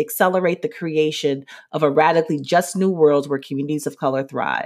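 On a very clean recording with a silent background, a woman with an American accent speaks with ordinary pitch variation. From New Haven, Connecticut. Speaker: podcast host and social justice strategist. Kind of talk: solo podcast monologue. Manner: hesitant, many fillers.

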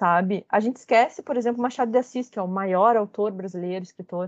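The woman's voice is fairly high and moves at a fairly quick pace with ordinary pitch variation. The sound is dry and close, without any echo. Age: 30s. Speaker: researcher in communication. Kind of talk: interview.

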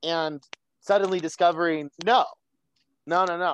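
A man speaks at a moderate pace and a fairly high pitch. The sound is dry and close, with no echo. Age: 30s. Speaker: program client sharing recovery story. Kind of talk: interview. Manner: casual, halting with fillers.

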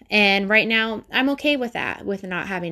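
The recording is very clean, with a silent background. A woman with a Midwestern US accent speaks at medium pitch in a bright, sharp tone. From Ohio. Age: 20s. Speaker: podcast host. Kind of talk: personal monologue. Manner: rambling with fillers.

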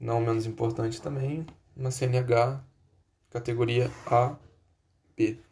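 Very slow and somewhat breathy, a man talks at medium pitch in a dark, mellow tone with monotone, flat intonation and long, frequent pauses. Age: 20s. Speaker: job applicant. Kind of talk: job application self-presentation. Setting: recording at home computer. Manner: formal.

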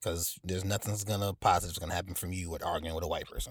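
Very fast and monotone with flat intonation, a man's very deep, low, somewhat breathy voice comes through on a very clean recording with a silent background. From North Carolina, US South. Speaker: interviewee. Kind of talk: interview.

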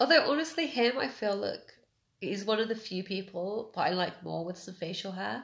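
A woman with vocal fry speaks at a fairly quick pace and medium pitch, using lively intonation. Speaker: podcast host. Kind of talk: casual chat.

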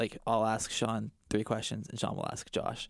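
A man with a medium pitch speaks with vocal fry. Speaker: guest. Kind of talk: casual chat.

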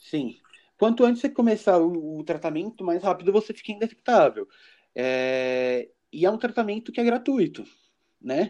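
Over a quiet background, a man with a high, dark, mellow voice speaks at a moderate pace, his pitch swinging very widely between long, frequent pauses. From Brazil, São Paulo city. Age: 20s. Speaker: HIV awareness advocate. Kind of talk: casual interview.

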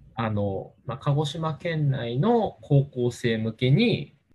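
This man's intonation is lively at a medium pitch. His voice is somewhat breathy. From Japan, Kagoshima. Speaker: leader of a space outreach group. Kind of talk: casual interview. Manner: halting with many fillers.

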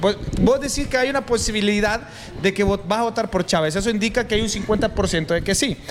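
A man speaks with a Honduran accent at a high pitch with ordinary variation. Noticeable background noise runs underneath. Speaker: youtuber and interviewer. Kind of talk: casual interview.

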